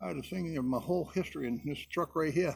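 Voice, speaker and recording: Talking at a very fast pace, a man has a fairly high pitch. His pitch varies in an ordinary way. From Connecticut (Hartford). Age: 80s+. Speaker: military veteran. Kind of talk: casual chat.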